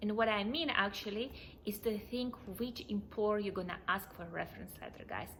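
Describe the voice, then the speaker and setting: A woman's medium-pitched voice moves along at a fairly quick pace, with ordinary pitch variation, while noticeable background noise carries on behind her. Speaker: immigration vlogger. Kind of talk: tutorial. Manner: fast.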